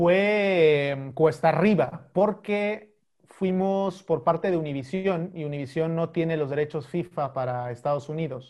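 A man speaks in an ordinary speaking voice, fairly high in pitch with ordinary pitch variation. His pace is fairly slow, with hardly any pauses. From Mexico, Chiapas. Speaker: sports correspondent. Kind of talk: casual interview.

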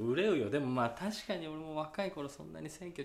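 The speaker is a man. His pace is fairly quick. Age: 30s. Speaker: actor and podcast co-host. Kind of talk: casual chat. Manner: animated.

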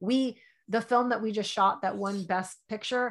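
Recorded very cleanly over a silent background, a woman with an American accent speaks fairly quickly in an unremarkable speaking voice, her fairly high pitch showing ordinary variation. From New York. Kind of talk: casual interview.

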